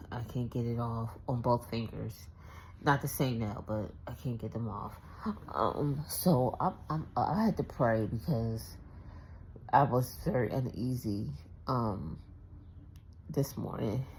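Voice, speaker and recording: This woman's voice is very deep and low, quiet and somewhat breathy, with lively intonation. She speaks at a very slow pace, with long, frequent pauses. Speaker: vlogger. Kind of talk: casual vlog. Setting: at home. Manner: quiet, talking low.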